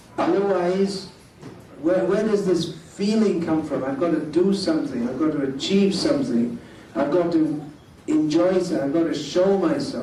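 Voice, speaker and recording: There is noticeable background noise and audible room echo. A man talks at a moderate pace with a high pitch and lively intonation. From England. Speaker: monk lecturer. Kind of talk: lecture.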